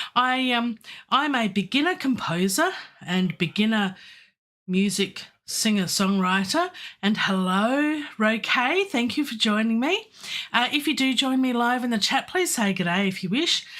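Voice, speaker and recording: A woman's fairly high voice with very wide pitch swings at a fairly slow pace over a quiet background. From Australia. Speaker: composer and classical singer; livestream host. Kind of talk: live stream chat. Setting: home studio. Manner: animated. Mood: friendly, upbeat. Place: home room.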